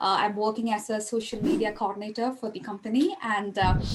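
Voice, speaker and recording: A woman with a fairly high pitch speaks at a fairly quick pace with fairly even intonation, and there is noticeable background noise. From India, Kerala. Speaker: social media coordinator. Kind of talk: casual chat.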